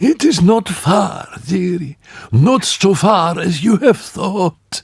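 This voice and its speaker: Here a man does a put-on character voice. It is husky and high-pitched. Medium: read story. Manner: wheedling, silken.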